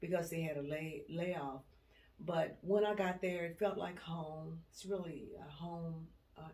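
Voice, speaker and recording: In a room with audible echo, a woman with a fairly low pitch speaks at a fairly slow pace, her intonation fairly even and her loudness swinging widely. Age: 70s. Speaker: retired HR worker. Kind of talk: life story interview.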